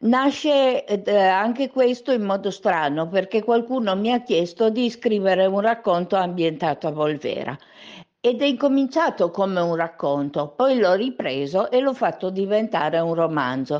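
Fairly slow delivery with very wide pitch swings and very even loudness. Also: woman, medium pitch for a woman. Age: 50s. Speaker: novelist. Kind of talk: radio interview.

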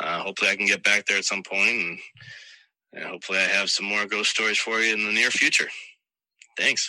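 A man talks in a fairly low register with a bright, sharp tone. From South Shore, Massachusetts. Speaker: listener sharing ghost story. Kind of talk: recorded voice memo story. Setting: voice memo recording.

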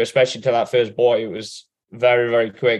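Speaking at a fairly quick clip, a man with an English accent uses a medium pitch. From Britain. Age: 20s. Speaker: professional triathlete. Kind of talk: interview. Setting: remote call.

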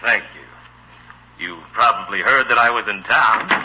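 Using a put-on character voice, a man speaks at a moderate pace in a fairly low pitch with ordinary pitch variation. His bright, sharp tone carries a slightly husky edge.

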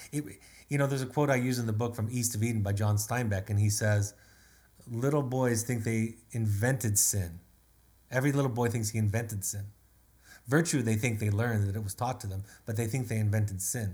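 Somewhat breathy, a man speaks fairly quickly at a medium pitch with fairly even intonation. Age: 50s. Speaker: family therapist and author. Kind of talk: solo webinar talk.

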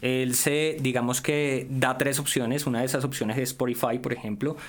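Medium pitch from a man against noticeable background noise. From Colombia, Valle del Cauca. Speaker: tech commentator. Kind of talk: casual chat.

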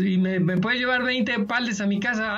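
Noticeable background noise sits behind a man's high-pitched voice. He keeps a moderate pace with ordinary pitch variation. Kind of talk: casual chat.

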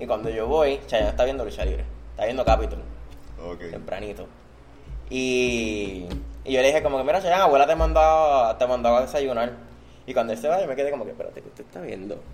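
Over music in the background, a man speaks with long, frequent pauses. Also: fairly quick pace. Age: 20s. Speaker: professional wrestler and teacher. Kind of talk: interview.

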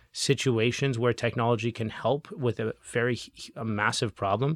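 At a moderate pace, a man speaks in a plain, everyday voice at medium pitch, recorded dry and close with no echo. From Canada. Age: 30s. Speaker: legal tech startup CEO. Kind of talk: interview.

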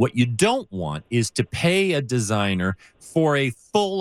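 Heard in a dry, close sound with no echo, a man with an American accent speaks very slowly with very wide pitch swings. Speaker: radio host. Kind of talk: call-in radio show. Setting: radio studio, live broadcast.

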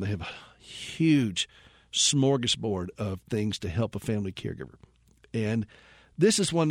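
On a very clean recording with a silent background, a man with a normal speaking voice talks at a medium pitch with lively intonation. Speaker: radio host. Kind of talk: radio show hosting. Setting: studio.

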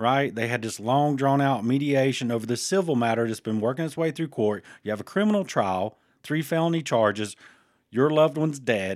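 At a fairly quick pace, a man with a normal speaking voice and lively intonation talks at medium pitch, recorded very cleanly against a silent background. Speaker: podcast co-host. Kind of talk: casual banter. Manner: joking, playful.

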